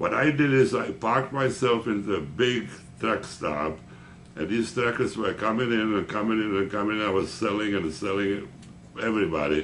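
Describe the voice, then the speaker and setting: At a moderate pace, a man with a fairly low pitch uses lively intonation, and audible room echo surrounds him. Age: 80s+. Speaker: veteran insurance salesman. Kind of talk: interview.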